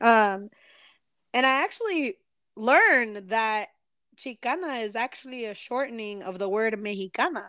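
Speaking at a fairly slow pace with long, frequent pauses, a woman uses a fairly high pitch on a very clean recording with a silent background. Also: lively intonation. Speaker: podcast co-host. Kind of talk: casual chat.

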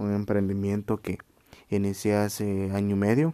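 A man with a Guatemalan accent speaks at a fairly slow pace in a fairly low, dark, mellow voice. The recording is very clean, with a silent background. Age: 20s. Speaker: podcaster. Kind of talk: solo podcast monologue. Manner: casual.

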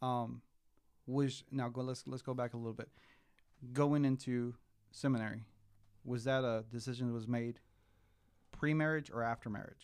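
Using a monotone, flat intonation, a man with a Spanish accent speaks at a moderate pace and medium pitch, with long, frequent pauses. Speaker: podcast host. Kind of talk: casual interview chat.

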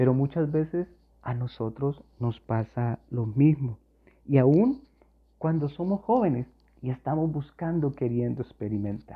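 A man speaks in a normal speaking voice with ordinary pitch variation. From Colombia. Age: 40s. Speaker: youth pastor. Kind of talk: sermon.

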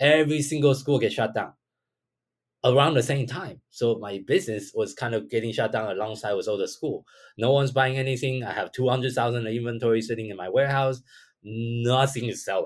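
Fairly quick speech with a Chinese accent and ordinary pitch variation. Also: man, medium pitch for a man. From Taiwan. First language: Mandarin Chinese. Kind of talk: podcast interview.

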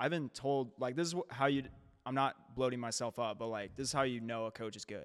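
Delivered at a fairly quick pace with ordinary pitch variation, this is a plain, everyday voice with an American accent. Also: man, medium pitch for a man. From St. Louis area, Missouri. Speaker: fitness coach. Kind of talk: casual chat.

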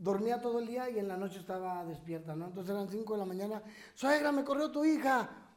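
Amid audible room echo, a man with a high pitch speaks at a fairly quick pace with ordinary pitch variation. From Chihuahua, northern Mexico. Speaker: comedian. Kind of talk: casual chat.

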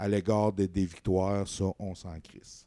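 A man talks at a very slow pace, his pitch very deep and low and his tone dark and mellow. The recording is very clean, with a silent background. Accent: Quebec. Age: 30s. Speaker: sports podcast host. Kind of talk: casual chat. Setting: home studio, live stream.

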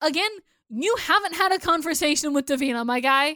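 A woman's high, bright, sharp, animated voice, raised and projected, in a very clean recording with a silent background. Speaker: podcast co-host. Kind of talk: casual chat, episode recap podcast. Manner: animated, talkative, interrupts.

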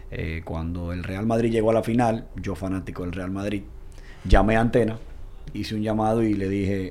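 Amid audible room echo, a man with a fairly low pitch talks at a fairly quick pace with ordinary pitch variation. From Dominican Republic. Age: 30s. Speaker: football commentator. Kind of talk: casual chat.

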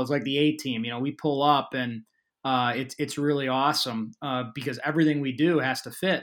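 A man's ordinary speaking voice with an American accent, fairly high in pitch, fairly even in intonation, at a moderate pace, in a very clean recording with a silent background. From Chicago suburbs, Illinois. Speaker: outdoor events business founder. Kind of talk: interview.

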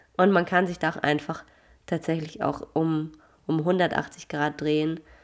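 Very deep and low, the woman's pitch comes through at a fairly slow pace. The recording is very clean, with a silent background. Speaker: nutrition consultant and fitness coach. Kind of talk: casual solo podcast monologue. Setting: recording late at night.

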